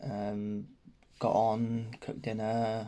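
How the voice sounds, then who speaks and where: Quiet and very slow, a man with an English accent talks at a medium pitch in a monotone, flat intonation. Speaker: vlogger. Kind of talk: personal vlog update. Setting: at home. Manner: hesitant, many ums.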